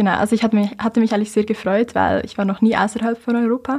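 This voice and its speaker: At a very fast pace, a woman speaks in a somewhat breathy, fairly high voice with monotone, flat intonation. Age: young (19). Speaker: climate activist. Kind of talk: interview.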